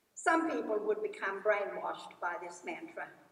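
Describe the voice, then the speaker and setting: Fairly high-pitched, this woman's voice carries audible room echo. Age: 80s+. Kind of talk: graduation address. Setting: stage with audience. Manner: formal.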